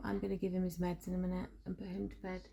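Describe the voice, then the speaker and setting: A soft-spoken woman at a fairly quick pace. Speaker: parenting vlogger. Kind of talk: casual vlog talk.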